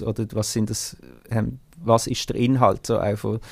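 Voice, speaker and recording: Vocal fry from a man at medium pitch, fairly slow and monotone, with flat intonation. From Switzerland, Basel-Landschaft. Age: 30s. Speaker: singer and band frontman. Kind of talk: interview. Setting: video call from a music studio.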